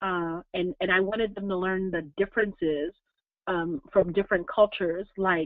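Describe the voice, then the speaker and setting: The speaker has an ordinary speaking voice with fairly even intonation at a moderate pace. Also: woman, medium pitch for a woman. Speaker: diversity consultant and presenter. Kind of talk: webinar presentation with Q&A. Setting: online webinar.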